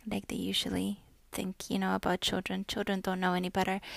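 A woman speaks on a very clean recording with a silent background. The sound is dry and close, with no echo. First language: not English. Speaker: podcast host. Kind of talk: solo monologue. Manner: casual, halting with fillers.

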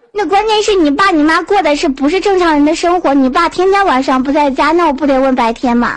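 Noticeable background noise sits behind a woman's high voice. She talks at a fairly quick pace with ordinary pitch variation. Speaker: chat room caller. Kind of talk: casual chat. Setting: online voice chat room.

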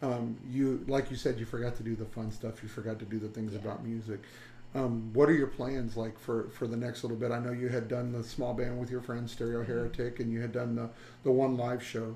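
A man's medium-pitched, flat monotone at a fairly quick pace. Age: 50s. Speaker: podcast host. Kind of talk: interview.

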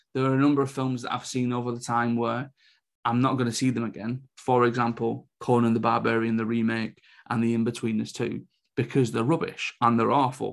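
A man's medium-pitched voice in a British accent, monotone and flat in intonation, at a fairly quick pace. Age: 30s. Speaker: film reviewer. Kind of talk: solo review podcast.

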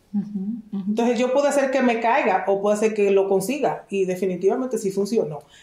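A woman talks with lively intonation. There is noticeable background noise. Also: very even loudness. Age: 50s. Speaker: dentist and entrepreneur mentor. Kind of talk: interview conversation.

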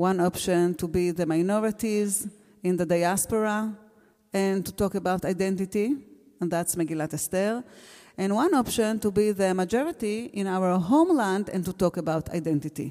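With an Israeli accent, a woman speaks at a moderate pace and medium pitch in a dark, mellow tone. Her pitch varies in an ordinary way, and the recording is very clean with a silent background. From Israel, Gush Etzion. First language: Hebrew. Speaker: teacher. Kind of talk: panel discussion. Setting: stage with audience. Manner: halting.

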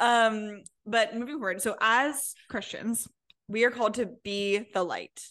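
Against a quiet background, a woman speaks at a fairly high pitch in a bright, sharp tone with ordinary pitch variation. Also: fairly slow pace. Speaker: podcast co-host. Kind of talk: casual chat. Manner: animated, energetic.

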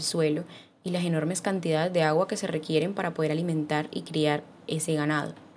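A woman's very deep, low voice at a very fast pace, with monotone, flat intonation. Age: 20s. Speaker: journalist. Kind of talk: recorded testimony.

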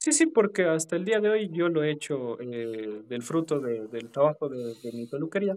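A man at a fairly high pitch and moderate pace, lively in intonation, with hardly any pauses. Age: 20s. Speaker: dog groomer and prosthetics maker. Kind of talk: casual interview.

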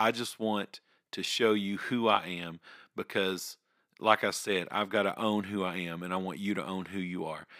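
A man with a Southern US accent talks at a moderate pace, fairly low in pitch and flat in a monotone. The sound is dry and close with no echo, very clean against a silent background. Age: 30s. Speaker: podcast host. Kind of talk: personal monologue. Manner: halting.

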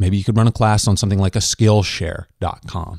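A man's fairly low, dark and mellow voice with a Midwestern American accent, dry and close with no echo, on a very clean recording with a silent background. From Kansas. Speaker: podcast host. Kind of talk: interview and solo commentary.

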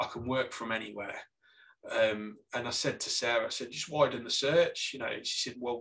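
At a moderate pace, a man talks with a Staffordshire accent and lively intonation. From Staffordshire, England. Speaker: graphic designer and podcaster. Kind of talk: casual interview chat.

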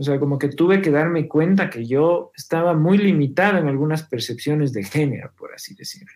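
A man uses a normal speaking voice with fairly high pitch and ordinary pitch variation. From Ecuador, Quito. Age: 40s. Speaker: filmmaker and musician. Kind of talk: casual interview.

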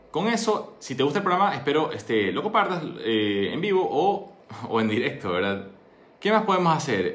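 Amid audible room echo, a man talks at a fairly quick pace in a fairly high voice that makes very wide pitch swings. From Ecuador. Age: 20s. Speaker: doctor and entrepreneur. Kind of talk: solo monologue talk. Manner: conversational.

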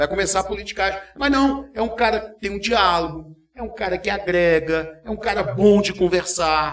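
Noticeable background noise runs behind this recording. A man speaks with a high pitch. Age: 40s. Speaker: journalist and radio news anchor. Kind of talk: casual interview chat. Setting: studio, live streamed podcast.

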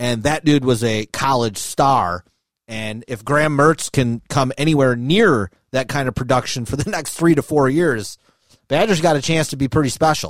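This is an ordinary speaking voice, a man with an American accent talking at a moderate pace and a medium pitch. His intonation is lively, and the sound is dry and close with no echo. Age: 30s. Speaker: sports podcast host. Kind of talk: casual chat.

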